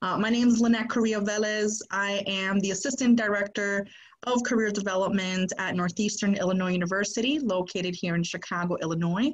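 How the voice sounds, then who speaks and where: Someone with an American accent speaks at a fairly quick pace with hardly any pauses, somewhat breathy and with fairly even intonation. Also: woman, medium pitch for a woman. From Boston, Massachusetts. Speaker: podcast co-host, career services staff. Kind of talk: panel introduction.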